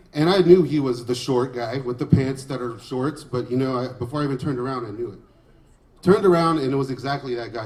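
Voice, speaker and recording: This man speaks very fast with an American accent at a medium pitch and ordinary pitch variation. Noticeable background noise sits behind him. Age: 30s. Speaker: stand-up comedian. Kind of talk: stand-up comedy set.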